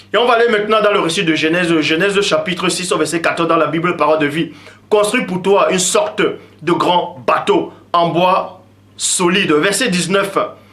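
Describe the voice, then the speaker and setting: Noticeable background noise sits behind a man's high-pitched voice. He keeps a moderate pace with ordinary pitch variation. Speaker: religious commentator. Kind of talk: lecture.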